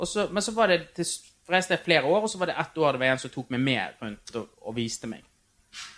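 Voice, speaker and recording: Fairly quick male speech, fairly high in pitch and swinging very widely up and down. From Norway, Bergen (Fyllingsdalen). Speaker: TV producer. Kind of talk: casual chat. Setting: backstage at a venue.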